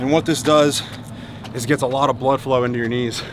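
A man talks at a fairly quick pace with fairly even intonation, in a dry sound with no echo and noticeable background noise. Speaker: fitness coach vlogger. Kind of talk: tutorial. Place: street. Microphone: phone near.

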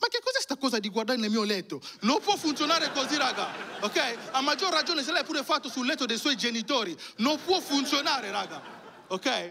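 At a moderate pace, a man speaks in a raised, projected voice. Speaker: stand-up comedian. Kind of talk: stand-up comedy routine. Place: stage. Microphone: handheld.

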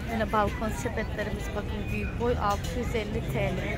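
A woman talks at a very slow pace. Crowd noise carries in the background, yet the sound stays dry with no echo. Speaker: vlogger filming a shopping trip. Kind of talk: casual vlog chat. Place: market. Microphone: phone near.

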